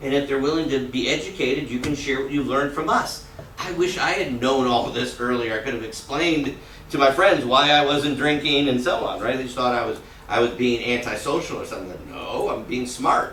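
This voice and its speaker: Fairly high-pitched for a man, this speaker moves at a fairly quick pace with ordinary pitch variation. Audible room echo and noticeable background noise are present. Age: 60s. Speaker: character education teacher. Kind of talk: classroom talk. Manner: conversational, frequent tag questions.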